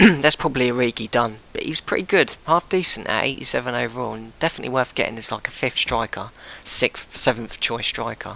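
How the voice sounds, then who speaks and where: Fairly quick male speech with hardly any pauses, medium pitch and ordinary pitch variation. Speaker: gaming YouTuber. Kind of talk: gameplay commentary. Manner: fast.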